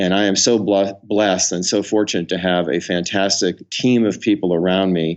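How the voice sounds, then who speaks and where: In a normal speaking voice, a man keeps to a moderate pace and a fairly low pitch. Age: 60s. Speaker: company founder and CEO, author. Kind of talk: interview.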